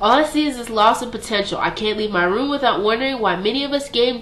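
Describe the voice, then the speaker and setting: A woman's fairly high voice at a fairly quick pace, ordinary pitch variation, noticeable noise behind her. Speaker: slam poet. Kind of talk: slam poetry performance.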